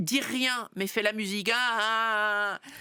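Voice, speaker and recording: In a very clean recording with a silent background and a dry, close sound with no echo, a woman talks at medium pitch with ordinary pitch variation and a bright, sharp tone. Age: 60s. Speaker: pastor. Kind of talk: interview.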